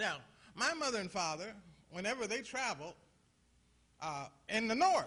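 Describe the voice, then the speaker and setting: A man with a high pitch and a raised, projected voice speaks in an animated tone at a moderate pace, with very wide pitch swings, long, frequent pauses, and audible room echo. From US Midwest, Toledo, Ohio. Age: 60s. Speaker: pastor. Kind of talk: conference talk. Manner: animated, preacherly call-and-response; halting, repeats words.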